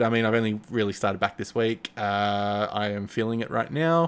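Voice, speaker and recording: A man talks at a fairly quick pace with an Australian accent and a fairly low pitch. The recording is very clean, with a silent background. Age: 30s. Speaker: podcast host. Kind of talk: casual chat. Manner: halting.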